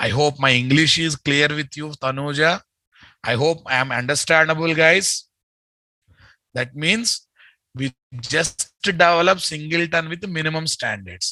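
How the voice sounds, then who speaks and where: Speaking with an Indian accent at a fairly slow pace, the voice is bright and sharp in tone, with ordinary pitch variation, long and frequent pauses, and a dry, close sound with no echo. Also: man, fairly high pitch for a man. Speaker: software trainer. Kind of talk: lecture. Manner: repetitive, emphatic.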